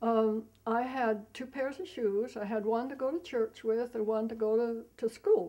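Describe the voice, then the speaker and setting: Speaking at a fairly slow pace with hardly any pauses, a woman with an American accent has a dark, mellow tone, a fairly high pitch and ordinary pitch variation. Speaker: elderly interviewee recalling wartime. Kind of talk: interview testimony. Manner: halting, with hesitations.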